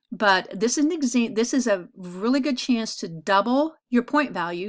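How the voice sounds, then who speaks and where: A woman with an ordinary speaking voice talks at a moderate pace, her fairly high pitch carried by lively intonation, in a very clean recording with a silent background. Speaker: art teacher. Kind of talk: recorded class lecture. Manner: casual, filler-heavy.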